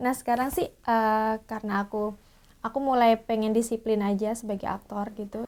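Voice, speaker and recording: This woman's voice sits at a fairly high pitch. She speaks with monotone, flat intonation. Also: moderate pace. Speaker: theatre actor. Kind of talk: tutorial. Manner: casual, hesitant with fillers.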